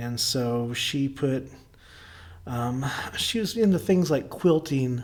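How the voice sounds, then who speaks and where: This man talks very slowly in an Oklahoma accent, with long, frequent pauses. His voice sits at a medium pitch, and his intonation is lively. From Oklahoma (rural, near Bristow). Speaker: artist. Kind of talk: interview conversation.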